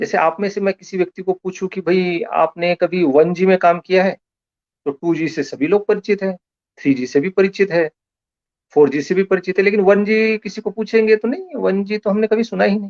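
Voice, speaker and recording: A man talks at a moderate pace in a high pitch. The sound is dry and close, with no echo. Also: ordinary pitch variation. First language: Marathi (speaking Hindi). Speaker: lecturer. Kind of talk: lecture. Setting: online live stream.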